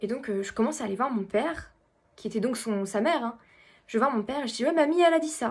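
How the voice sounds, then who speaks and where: Her voice high-pitched, a woman talks at a very fast pace. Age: 20s. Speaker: medium. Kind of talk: casual talk to camera.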